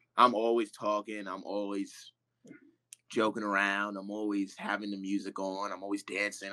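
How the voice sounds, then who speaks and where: A man's bright, sharp voice at a fairly low pitch and a moderate pace, on a very clean recording with a silent background. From New York City (the Bronx). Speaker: professional baseball player. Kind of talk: casual interview chat. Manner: loud; animated.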